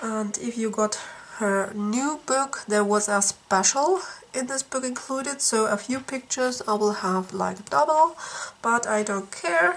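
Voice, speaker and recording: A woman talks at a fairly slow pace with lively intonation over noticeable background noise. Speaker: coloring book YouTuber. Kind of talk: casual product flip-through. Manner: halting with many fillers.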